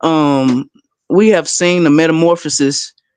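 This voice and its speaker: The voice carries a Memphis accent. The background is quiet. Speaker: panel guest speaker. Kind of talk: impassioned rant on a live panel. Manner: animated.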